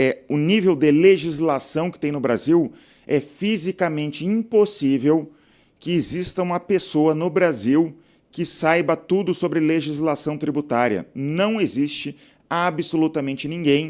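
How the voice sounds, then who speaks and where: In a very clean recording with a silent background, a man uses an ordinary speaking voice, fairly high in pitch, at a fairly slow pace. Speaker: software entrepreneur and channel host. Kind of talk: casual talking-head video monologue. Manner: conversational, frequent filler 'tá'.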